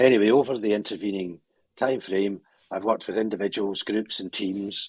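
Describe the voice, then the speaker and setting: A Scottish-accented man speaks at a fairly low pitch and a moderate pace. The recording is very clean, with a silent background. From Scotland, Glasgow. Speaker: psychologist and coach. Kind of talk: interview.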